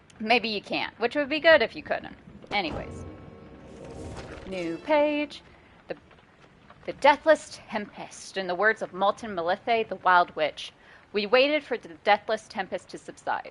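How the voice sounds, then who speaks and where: With music in the background, a woman speaks fairly slowly in a fairly high voice, her pitch swinging very widely and her loudness shifting sharply, with long, frequent pauses. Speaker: video game streamer. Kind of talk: live game stream with reading aloud of game text. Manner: casual, swearing, reads game text aloud.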